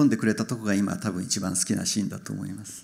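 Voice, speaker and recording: A man speaks with fairly low pitch and fairly even intonation in a normal speaking voice. The background is quiet. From Japan. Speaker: film director; guest. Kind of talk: Q&A with interpreter. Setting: stage with audience. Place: stage. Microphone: handheld.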